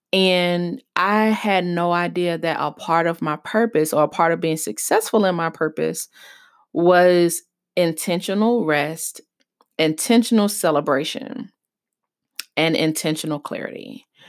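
A woman with an unremarkable speaking voice, fairly low in pitch, at a fairly slow pace with ordinary pitch variation. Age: 30s. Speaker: podcast host and business coach. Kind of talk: solo podcast monologue.

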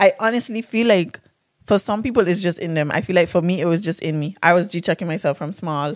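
Over a very clean recording with a silent background, a woman talks at a very fast pace. Her pitch is fairly low, with ordinary pitch variation. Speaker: podcast co-host. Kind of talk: casual chat. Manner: animated, casual.

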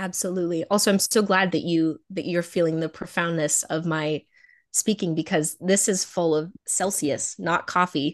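This woman has an unremarkable speaking voice with an American accent, pitched fairly low. She talks at a moderate pace with fairly even intonation. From Nevada, US. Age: 20s. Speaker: beauty pageant titleholder and college student. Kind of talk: casual interview.

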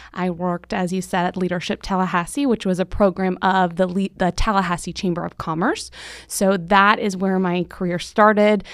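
A woman with a medium-pitched, plain, everyday voice talks at a moderate pace with hardly any pauses. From Central Florida. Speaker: chamber of commerce CEO. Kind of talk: interview conversation. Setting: studio.

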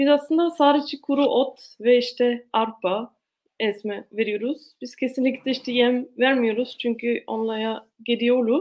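Fairly slow and high-pitched, a woman talks with an Austrian accent. Her intonation stays fairly even. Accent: Austrian German accent in Turkish. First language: German (speaking Turkish). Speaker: organic farmer. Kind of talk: presentation. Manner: halting.

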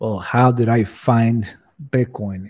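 In a Spanish accent, a man speaks at medium pitch with a dark, mellow tone and fairly even intonation, on a very clean recording with a silent background. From Cuba. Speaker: bitcoin enthusiast guest. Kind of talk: casual interview chat.

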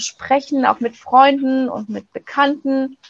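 A woman speaks with a high pitch. She goes at a fairly slow pace with fairly even intonation. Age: 40s. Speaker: pregnancy crisis counselor. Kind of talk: interview. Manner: hesitant, many fillers.

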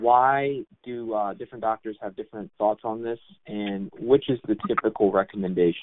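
At a moderate pace, a man speaks in an unremarkable speaking voice of medium pitch with ordinary pitch variation and big swings in loudness. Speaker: nonprofit programs manager. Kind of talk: announcements. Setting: phone call.

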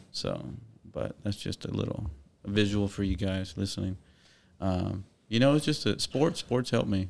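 At a moderate pace, a man with a fairly low pitch uses lively intonation and long, frequent pauses. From Corpus Christi, Texas. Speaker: photographer and videographer business owner. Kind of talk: casual chat.

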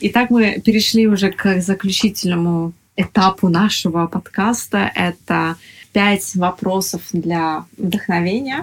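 Speaking at a very slow pace, a woman has a medium pitch, fairly even intonation and a somewhat breathy sound. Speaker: podcast host. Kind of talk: interview. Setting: guest's apartment.

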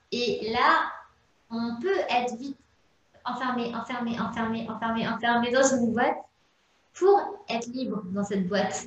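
A woman's fairly high voice in a room with audible echo, ordinary pitch variation, a fairly slow pace and long, frequent pauses. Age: 20s. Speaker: entrepreneur and menstrual cycle coach. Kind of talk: interview.

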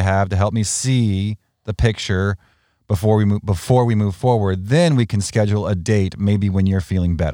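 In a very clean recording with a silent background, a man talks at a fairly quick pace in a fairly low pitch, his tone dark and mellow and his pitch variation ordinary. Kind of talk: casual banter, two-host podcast chat. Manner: chatty, self-deprecating, jokey, overlapping.

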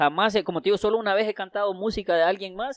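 The background stays quiet while a man talks. His voice sounds dry and close, free of any echo. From Honduras, Santa Rosa de Copán. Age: 30s. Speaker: writer and rapper. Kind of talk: casual interview.

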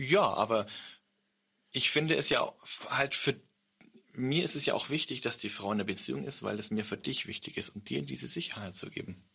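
A man with vocal fry and fairly low pitch talks at a moderate pace, pitch swinging very widely, with long, frequent pauses. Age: 30s. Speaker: podcast host. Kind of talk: casual chat.

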